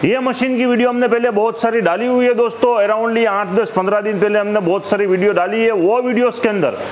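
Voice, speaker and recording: A man's high-pitched voice at a moderate pace, with hardly any pauses, fairly even intonation, very even loudness and light background noise. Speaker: machine seller presenting product. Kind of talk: product demonstration talk. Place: shop. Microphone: lapel.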